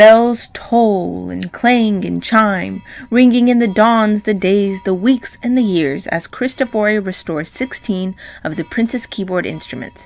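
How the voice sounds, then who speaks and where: Over music in the background, a woman with a medium pitch speaks at a fairly slow pace with ordinary pitch variation. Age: young. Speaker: pianist and piano teacher. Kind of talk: reading aloud. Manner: expressive.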